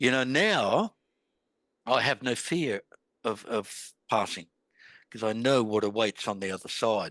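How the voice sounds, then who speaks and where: With an Australian accent, a man talks at a fairly slow pace and medium pitch with ordinary pitch variation, the sound dry and close with no echo over a quiet background. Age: 60s. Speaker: author. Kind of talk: interview. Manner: halting, with many false starts.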